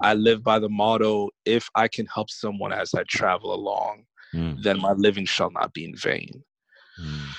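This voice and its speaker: A man with an American accent speaks in an unremarkable speaking voice, fairly low in pitch, at a moderate pace with ordinary pitch variation, the sound dry and close with no echo. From New York (Bronx). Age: young. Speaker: podcast guest sharing family story. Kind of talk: casual interview.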